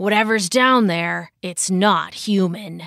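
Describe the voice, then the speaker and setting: In a put-on character voice, a woman growls at a medium pitch and a fairly slow pace. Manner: growling.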